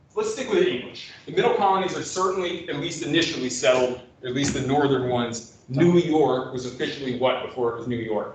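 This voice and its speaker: With hardly any pauses, a man talks at a fairly quick pace and fairly high pitch, showing ordinary pitch variation, against noticeable background noise and audible room echo. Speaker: history professor. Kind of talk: lecture.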